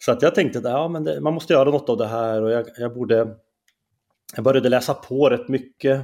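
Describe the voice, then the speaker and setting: A man's dark, mellow tone at medium pitch, with ordinary pitch variation and a fairly quick pace. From Norrland, Skellefteå area. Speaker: columnist and debater. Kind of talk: interview conversation. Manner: halting.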